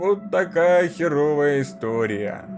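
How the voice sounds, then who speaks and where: Over clear background music, a man does a put-on character voice at a moderate pace with very wide pitch swings. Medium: read story. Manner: blunt, matter-of-fact.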